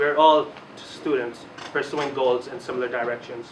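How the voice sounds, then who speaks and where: A man talks at a medium pitch with audible room echo. Noticeable background noise sits behind him. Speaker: student election candidate. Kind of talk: campaign speech.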